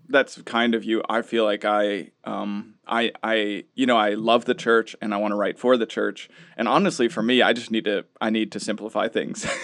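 A man with an unremarkable speaking voice talks at medium pitch and a moderate pace, with fairly even intonation and hardly any pauses. The sound is dry and close, with no echo. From US Midwest (Minnesota). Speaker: New Testament professor. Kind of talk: casual interview.

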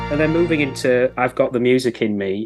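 Over a quiet background, a man with a medium pitch talks with a West Yorkshire accent. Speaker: podcast host. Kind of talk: interview.

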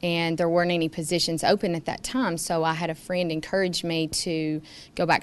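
With a Tennessee accent, a woman speaks at a fairly low pitch. Her pace is moderate and her intonation fairly even. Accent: US Southern (Tennessee). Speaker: farmer and high school teacher. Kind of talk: interview.

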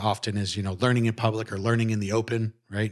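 Using a normal speaking voice, a man talks at a fairly low pitch and moderate pace with fairly even intonation over a quiet background. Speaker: podcast host. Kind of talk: interview, casual conversation. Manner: friendly, conversational.

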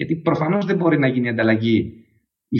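Somewhat breathy and fairly high-pitched, a man speaks at a moderate pace with very wide pitch swings. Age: 40s. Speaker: startup CEO. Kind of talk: interview.

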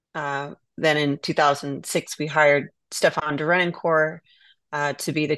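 A woman with an American accent speaks in a very deep, low pitch with monotone, flat intonation at a moderate pace. The sound is dry and close with no echo, over a quiet background. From Southern California and Virginia, US. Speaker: winery owner. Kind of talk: interview conversation.

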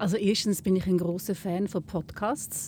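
A woman speaks at a medium pitch. Her voice carries vocal fry. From Switzerland, Lucerne. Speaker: journalist. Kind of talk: casual interview. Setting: in a gondola.

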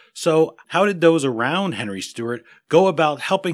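A man's unremarkable speaking voice, lively in intonation and moderate in pace, in a very clean recording with a silent background. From United States. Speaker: podcast host. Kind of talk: interview.

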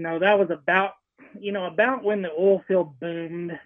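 A man with a Texan accent, high in pitch, with fairly even intonation. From Central Texas (Hill Country). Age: 40s. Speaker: hunting outfitter. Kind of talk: casual interview.

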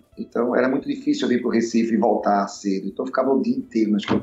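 The speech is very fast. A man delivers it with very wide pitch swings. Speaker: musician and bandleader. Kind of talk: casual interview chat.

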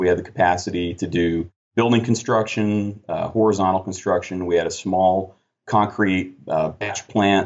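A man speaks in a very deep, low pitch. His intonation is fairly even. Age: 30s. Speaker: construction project manager and former army engineer officer. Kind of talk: interview.

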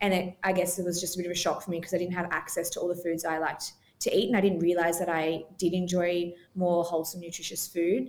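With an Australian accent, a woman talks very fast in a monotone, flat intonation. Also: fairly low pitch for a woman. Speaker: dietitian and cookbook author. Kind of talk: casual interview chat.

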